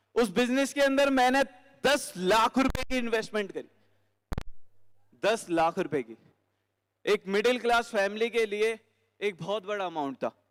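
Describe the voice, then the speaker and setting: A man's voice with ordinary pitch variation. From Delhi, India. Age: 20s. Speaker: network marketing speaker. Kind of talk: motivational stage talk. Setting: stage with audience.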